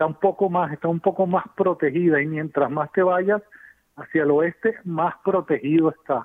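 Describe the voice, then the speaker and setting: The man's voice is pitched high. Its rises and falls are typical. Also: moderate pace. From Venezuela. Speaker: civil engineer. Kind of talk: expert interview.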